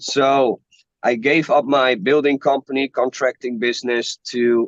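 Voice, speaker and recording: This man's fairly high voice moves at a very slow pace, recorded with a dry, close sound and no echo. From Netherlands. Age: 20s. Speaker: entrepreneur. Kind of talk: casual self-introduction. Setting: video call. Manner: halting.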